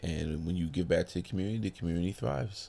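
A man's very deep, low voice with ordinary pitch variation, on a very clean recording with a silent background. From Brooklyn, New York. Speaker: clothing company owner. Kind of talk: interview. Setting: fitness expo.

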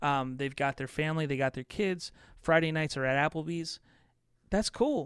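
A man with an unremarkable speaking voice and fairly high pitch talks at a moderate pace with ordinary pitch variation, on a very clean, dry, close recording with a silent background and no echo. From US Midwest (Chicago, southern Indiana). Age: 30s. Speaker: contracting business podcaster and consultant. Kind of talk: casual interview.

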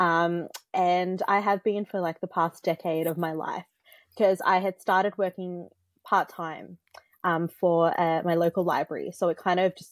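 A woman's fairly low pitch in monotone, flat intonation, with dry, close sound, no echo, and a very clean recording with a silent background. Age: 20s. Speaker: musician and YouTube creator. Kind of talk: casual interview chat.

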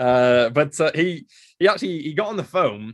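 A man speaks at a moderate pace with an English accent and ordinary pitch variation. The recording is very clean, with a silent background. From England. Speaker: paleontologist. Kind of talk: interview.

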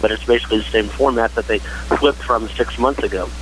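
Against clear background noise, a male voice carries an American accent. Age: 50s. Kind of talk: casual chat.

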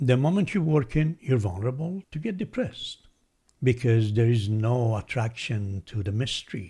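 The voice is somewhat breathy, with a dark, mellow tone and a non-native accent. Its intonation is lively. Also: man. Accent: foreign-accented English. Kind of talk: reflective conversation. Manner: thoughtful, philosophical.

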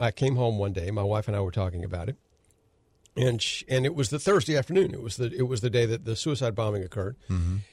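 Against a silent background in a very clean recording, a man with an American accent speaks very fast in a somewhat breathy, medium-pitched voice with lively intonation. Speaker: radio host and attorney. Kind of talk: talk radio commentary. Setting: studio.

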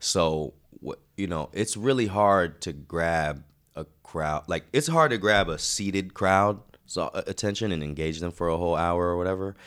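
A man with a very deep, low pitch and an American accent speaks at a moderate pace with ordinary pitch variation, recorded very cleanly against a silent background. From North Carolina, Durham. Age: 20s. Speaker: rapper and spoken word poet. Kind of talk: casual interview.

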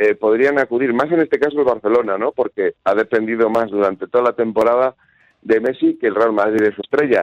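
A man talks in a medium pitch. The recording sounds dry and close, with no echo. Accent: Spanish. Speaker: football correspondent. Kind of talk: phone interview. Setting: phone call.

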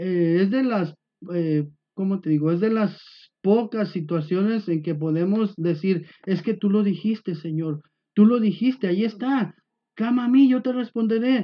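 A man's high pitch at a fairly slow pace. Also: ordinary pitch variation. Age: old. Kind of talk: informal devotional talk.

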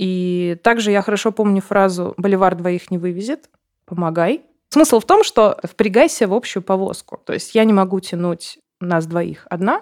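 A woman talks in an unremarkable speaking voice at a fairly slow pace, her pitch medium with ordinary variation. The sound is dry and close, with no echo. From Russia, Siberia (Novosibirsk). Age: 30s. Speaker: journalist and entrepreneur. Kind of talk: interview testimony.

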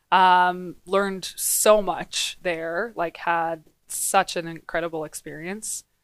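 A woman with a Canadian accent has a plain, everyday voice, fairly low in pitch with fairly even intonation. The recording is very clean with a silent background and a dry, close sound with no echo. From western Canada. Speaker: business association director. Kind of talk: interview. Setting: in-person studio.

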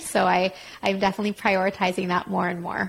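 A woman with an unremarkable speaking voice talks at a fairly quick pace in a medium pitch. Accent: Canadian. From Quebec, Montreal. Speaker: career coach. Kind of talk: casual interview. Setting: remote call.

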